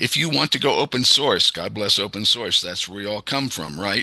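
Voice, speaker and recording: A man with a fairly low pitch and vocal fry speaks at a moderate pace in a bright, sharp tone. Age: 70s. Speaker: software developer and tech presenter. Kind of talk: technical presentation over video call. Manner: casual, many filler words.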